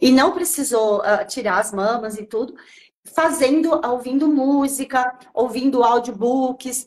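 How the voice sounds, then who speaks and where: A woman speaks with a high voice and lively intonation. Her pace is fairly slow. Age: 60s. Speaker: natural nutrition specialist and chef. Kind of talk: live stream conversation.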